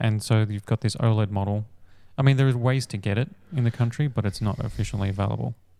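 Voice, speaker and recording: Recorded very cleanly against a silent background, a man speaks with an Australian accent at a fairly low pitch. His tone is dark and mellow, his pace very fast and his intonation fairly even. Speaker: tech podcast host. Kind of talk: casual chat. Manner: hesitant, many fillers.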